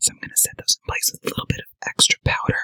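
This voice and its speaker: A man whispers in a playful tone. The sound is dry and close, with no echo. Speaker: makeup artist. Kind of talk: makeup tutorial to camera. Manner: playful, sassy.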